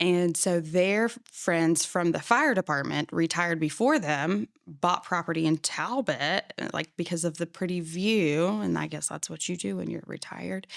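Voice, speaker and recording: A woman's voice with an American accent, fairly low in pitch, lively in intonation, at a moderate pace with hardly any pauses, dry and close with no echo, on a very clean recording with a silent background. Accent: slight Southern, heard by others. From Florida, partly Pennsylvania. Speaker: childcare business owner. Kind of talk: casual chat.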